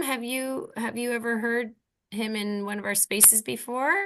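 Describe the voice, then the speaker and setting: With a Canadian accent and a bright, sharp tone, a woman speaks at a moderate pace in a fairly high pitch, her pitch varying in an ordinary way. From Canada. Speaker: podcast co-host. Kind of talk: casual panel discussion. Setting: video call.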